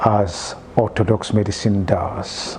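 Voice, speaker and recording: A man's fairly low voice at a very slow pace, with noticeable background noise. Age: 60s. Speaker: health and wellness expert. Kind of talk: interview. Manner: halting, many fillers.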